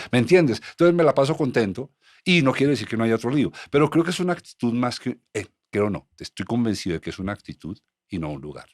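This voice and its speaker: A man with a medium-pitched voice talks at a very fast pace, with very wide pitch swings and big swings in loudness, in a dry, close sound with no echo. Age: 60s. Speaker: podcast host. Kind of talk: casual chat.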